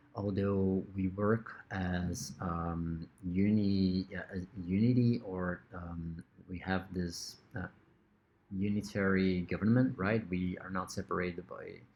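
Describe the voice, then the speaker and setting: Someone with a Brazilian Portuguese accent speaks at a very slow pace with fairly even intonation. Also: man, very deep, low pitch for a man. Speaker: lecturer. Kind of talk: lecture. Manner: hesitant, many fillers.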